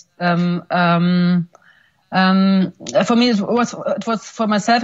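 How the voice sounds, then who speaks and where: A woman speaks with a non-native accent and medium pitch. Her voice is somewhat breathy, with fairly even intonation. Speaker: film director. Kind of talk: Q&A interview. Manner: halting, many fillers and repeats. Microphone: poor connection, can't hear host.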